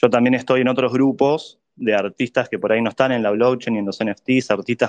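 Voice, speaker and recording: A plain, everyday voice moves at a fairly quick pace with fairly even intonation, recorded with a dry, close sound with no echo. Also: man. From Argentina, Buenos Aires. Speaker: NFT artist and community figure. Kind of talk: casual chat.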